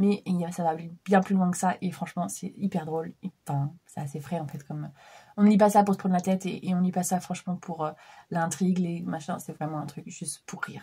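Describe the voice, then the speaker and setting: In a very clean recording with a silent background, a woman with a fairly low pitch and a dark, mellow, somewhat breathy tone speaks at a fairly quick pace with fairly even intonation and big swings in loudness. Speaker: book vlogger. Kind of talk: casual vlog book review. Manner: hesitant, many fillers.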